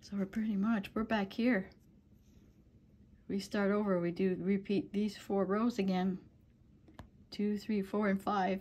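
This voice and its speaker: A soft-spoken woman with an American accent talks at a fairly slow pace, somewhat breathy. Her intonation is monotone and flat, with long, frequent pauses. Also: medium pitch for a woman. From US Upper Midwest, northern Wisconsin. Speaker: crochet tutorial maker. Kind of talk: tutorial with casual chat.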